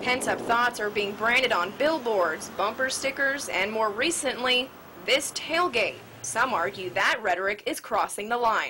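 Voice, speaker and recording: An unremarkable speaking voice, a woman with an American accent keeps very even loudness while using lively intonation at a fairly high pitch. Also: moderate pace. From United States. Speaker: TV news reporter and anchor. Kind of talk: TV news report.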